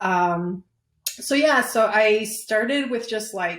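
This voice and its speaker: A woman speaks with a Chicago accent and ordinary pitch variation. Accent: Chicago American English. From Chicago, Pilsen neighborhood, Mexican family. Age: 30s. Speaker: business owner. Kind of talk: interview.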